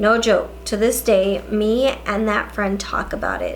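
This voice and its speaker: The voice belongs to a woman. There is noticeable noise behind her. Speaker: beauty and paranormal-story YouTuber. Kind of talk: casual talk to camera, reading subscribers' ghost stories. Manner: storytelling read-aloud.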